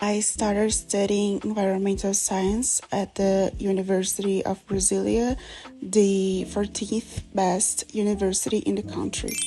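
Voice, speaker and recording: With noticeable background noise behind her, a woman speaks at a medium pitch and a fairly slow pace in a monotone, flat intonation. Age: 20s. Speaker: university student. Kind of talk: self-introduction video, scripted.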